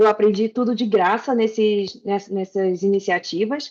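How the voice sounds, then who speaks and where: Speaking with a Rio de Janeiro accent, a woman keeps a moderate pace. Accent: carioca accent, noticeable. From Rio de Janeiro, Brazil. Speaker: back-end developer, speaker. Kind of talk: tech talk presentation.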